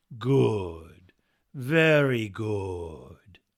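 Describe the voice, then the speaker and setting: Doing a put-on character voice, a man speaks at a fairly low pitch with very wide pitch swings. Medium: read story. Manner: smooth, unhurried, falsely courteous.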